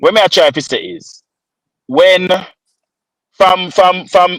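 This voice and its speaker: Recorded dry and close with no echo, a man speaks at a fairly slow pace in a high pitch. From Jamaica. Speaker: podcast co-host. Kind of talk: casual chat. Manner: animated, repetitive stammering.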